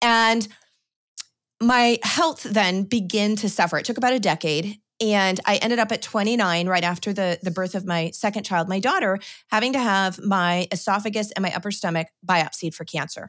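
In a normal speaking voice, a woman with an American accent talks at a moderate pace and medium pitch, with ordinary pitch variation, on a very clean recording with a silent background. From Washington State, US Pacific Northwest. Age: 40s. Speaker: homesteader and gardening author. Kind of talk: casual interview.

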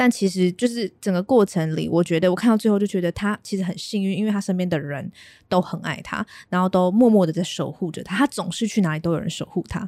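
A woman's dark, mellow voice at medium pitch, with ordinary pitch variation and a very fast pace, in a very clean recording with a silent background and a dry, close sound with no echo. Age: 20s. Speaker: podcast co-host and content writer. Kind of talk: casual chat.

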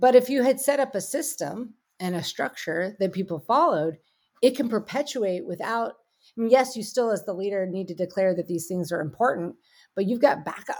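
Recorded very cleanly over a silent background, a woman uses a normal speaking voice at a medium pitch. She talks at a fairly quick pace with lively intonation. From US, Pittsburgh. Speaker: tech company CEO. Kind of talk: interview conversation.

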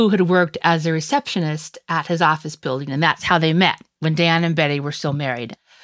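The speech moves at a fairly quick pace with fairly even intonation on a very clean recording with a silent background. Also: woman. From US rural West. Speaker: legal journalist. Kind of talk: casual chat.

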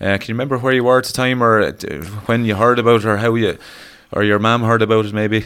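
Speaking at a very fast pace, a man with an Irish accent holds a medium pitch in a monotone, flat delivery. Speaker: podcast co-host, farm advisor. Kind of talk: interview. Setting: on location at farm.

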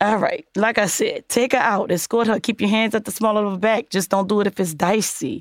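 Fairly quick and animated, the speech has ordinary pitch variation, very even loudness and hardly any pauses, in a dry, close sound with no echo. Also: woman, fairly high pitch for a woman. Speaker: podcast host. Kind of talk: casual chat with relationship advice. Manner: animated, sassy.

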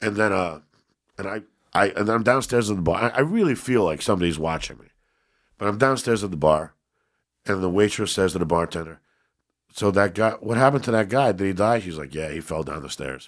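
A man talks at a fairly quick pace with lively intonation and big swings in loudness, his pitch fairly low. Long, frequent pauses break it up, on a very clean recording with a silent background. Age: 50s. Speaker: comedian and actor. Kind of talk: casual chat. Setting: studio.

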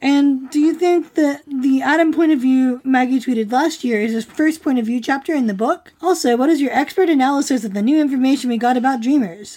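A woman with a high voice and lively intonation talks at a fairly quick pace against noticeable background noise. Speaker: podcast co-host. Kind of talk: casual chat analysis podcast. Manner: animated, laughing often.

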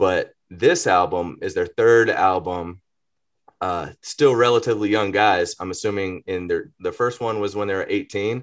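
A man with an Atlanta accent at a moderate pace against a quiet background. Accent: Southern US (Atlanta). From Greater Atlanta, US South. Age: 30s. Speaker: rapper. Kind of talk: casual chat.

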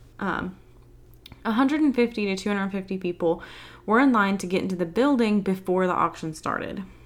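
A woman with a Southern US accent speaks at a medium pitch with ordinary pitch variation. Her pace is fairly quick, and the recording is very clean with a silent background. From US South. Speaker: podcast host. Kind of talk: casual chat.

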